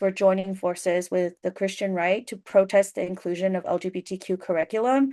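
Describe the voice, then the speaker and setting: A woman speaks at a medium pitch and a fairly quick pace, with fairly even intonation over a quiet background. It is an ordinary speaking voice. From US immigrant community. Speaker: journalist panelist. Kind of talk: panel discussion. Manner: many fillers and restarts.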